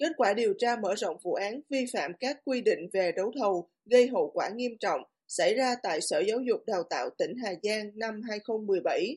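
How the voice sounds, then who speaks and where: In an unremarkable speaking voice, a woman talks with lively intonation at a fairly high pitch and a fairly slow pace. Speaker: news reader. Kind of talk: news reading.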